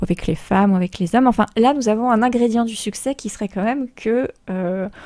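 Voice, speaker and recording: A woman with a Polish accent, a fairly high pitch and a dark, mellow tone, at a fairly quick pace with ordinary pitch variation. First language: Polish (speaking French). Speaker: radio host. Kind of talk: radio talk show.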